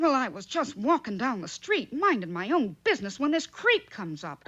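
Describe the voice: A cartoonish character voice with fairly high pitch, very wide pitch swings and moderate pace over a quiet background.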